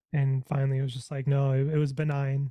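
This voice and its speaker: Somewhat breathy and fairly high-pitched, a man talks at a fairly quick pace with a dark, mellow tone. The sound is dry and close, with no echo. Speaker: apparel brand founder. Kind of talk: interview.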